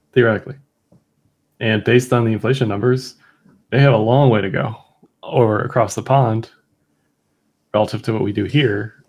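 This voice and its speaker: A man's somewhat breathy, mumbling speech at a medium pitch and fairly quick pace, broken by long, frequent pauses. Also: fairly even intonation. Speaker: crypto market analyst co-host. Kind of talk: casual chat. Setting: video call. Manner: mumbling, slurred words.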